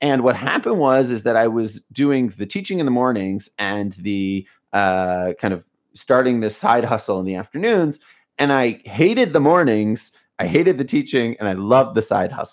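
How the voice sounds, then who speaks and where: Speaking with an American accent, a man uses a plain, everyday voice at medium pitch, moving at a moderate pace with lively intonation. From US, Baltimore. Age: 30s. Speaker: education company founder. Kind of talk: interview. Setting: video call.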